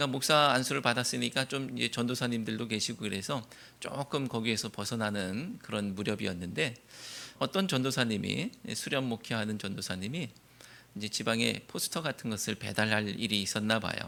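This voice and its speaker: A man's bright, sharp voice at a medium pitch with vocal fry, a fairly quick pace and ordinary pitch variation. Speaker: pastor. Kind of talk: sermon. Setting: church. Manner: curt, stiff way of talking.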